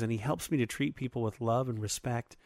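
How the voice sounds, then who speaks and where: This man has an ordinary speaking voice, pitched in the medium range, with ordinary pitch variation. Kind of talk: casual chat.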